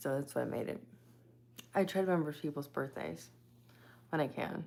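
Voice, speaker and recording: The voice is soft-spoken and carries vocal fry. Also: woman, very deep, low pitch for a woman, ordinary pitch variation, fairly quick pace. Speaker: psychic medium and live streamer. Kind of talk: casual live stream chat with viewers.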